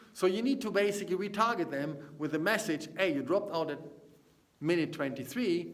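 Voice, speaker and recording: In a German accent, a man with a fairly high pitch swings very widely up and down at a moderate pace, with audible room echo around him. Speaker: business consultant. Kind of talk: casual vlog talk to camera. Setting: seminar room. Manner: halting.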